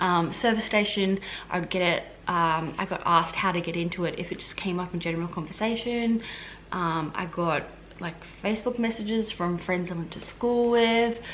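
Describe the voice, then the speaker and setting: Noticeable background noise sits behind a woman speaking with an Australian accent at a moderate pace. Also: medium pitch for a woman, ordinary pitch variation. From Australia, Queensland. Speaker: health administration worker and vlogger. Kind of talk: casual vlog Q&A. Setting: at home. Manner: casual, many fillers.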